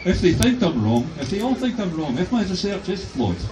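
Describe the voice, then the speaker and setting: A man with a Glasgow accent at a fairly quick pace, amid noticeable background noise and audible room echo. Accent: Scottish (Glasgow area). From west of Scotland. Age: 60s. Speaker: professor. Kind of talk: protest speech. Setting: outdoors addressing a crowd. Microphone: phone camera recording.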